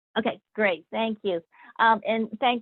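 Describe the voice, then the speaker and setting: A fairly high-pitched woman talks at a fairly slow pace with fairly even intonation. She uses an ordinary speaking voice. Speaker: federal economic development official. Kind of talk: webinar presentation.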